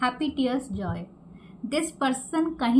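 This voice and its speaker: Soft-spoken and high-pitched, a woman talks against noticeable background noise. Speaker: tarot reader. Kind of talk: tarot reading.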